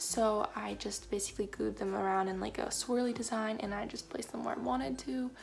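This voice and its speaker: A woman whispers. Her pace is fairly quick. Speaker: craft vlogger. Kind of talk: tutorial. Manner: whispering; casual, rambling.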